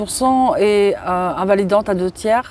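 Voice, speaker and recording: The woman's pitch varies in an ordinary way. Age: 40s. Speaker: interviewee sharing childhood abuse. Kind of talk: testimony. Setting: outdoors in a park. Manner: halting.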